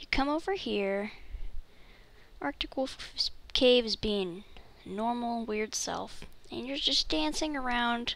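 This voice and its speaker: Long pauses come often as the words unfold very slowly. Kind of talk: casual gameplay tips voiceover. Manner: soft-spoken.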